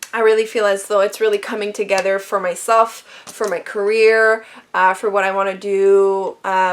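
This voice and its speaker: A woman in a Quebec accent at a moderate pace, medium in pitch, with monotone, flat intonation. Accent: Quebec French-Canadian. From Quebec, Canada. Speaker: beauty vlogger. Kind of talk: casual talk to camera.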